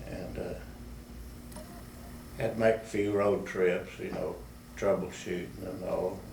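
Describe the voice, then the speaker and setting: The speaker talks very slowly in a Texan accent, with very wide pitch swings. Audible room echo and noticeable background noise fill the recording. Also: man, very deep, low pitch for a man. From West Texas. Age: 80s+. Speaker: war veteran. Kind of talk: oral history interview. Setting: public library. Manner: halting.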